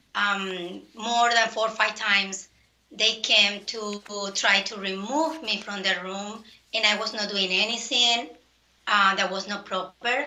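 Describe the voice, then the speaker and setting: A woman with a non-native accent speaks at a fairly slow pace, her medium pitch carrying fairly even intonation. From outside the US. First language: not English. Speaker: poll challenger. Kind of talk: testimony. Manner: halting.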